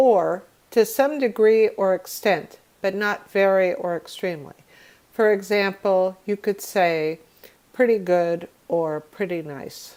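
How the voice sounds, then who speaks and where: With an American accent, a woman speaks in an unremarkable speaking voice at a medium pitch and a fairly slow pace, on a very clean recording with a silent background. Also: ordinary pitch variation. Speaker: English teacher. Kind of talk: vocabulary lesson definitions read.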